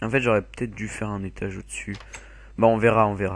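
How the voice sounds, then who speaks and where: This man's voice sits fairly low. He delivers every line in a flat monotone. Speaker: gaming video creator. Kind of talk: gameplay commentary.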